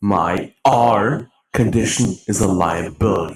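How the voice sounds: A put-on character voice from a man, fairly low-pitched and raspy, at a fairly slow pace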